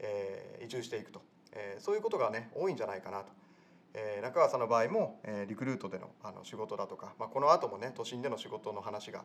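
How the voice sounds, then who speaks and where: A man is speaking. His pace is very fast. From rural area. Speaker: podcast host. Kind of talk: casual interview; scripted outro.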